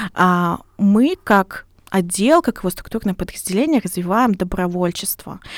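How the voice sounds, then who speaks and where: At a fairly slow pace, a woman speaks in a normal speaking voice with medium pitch and ordinary pitch variation, the sound dry and close with no echo. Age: 20s. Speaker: volunteer centre head. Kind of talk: podcast interview.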